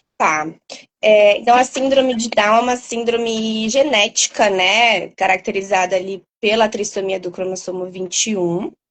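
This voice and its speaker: The woman's fairly high voice moves at a moderate pace, its pitch varying in an ordinary way. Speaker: doctor specializing in sleep. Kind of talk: interview explanation. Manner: loud. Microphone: poor headset audio at first.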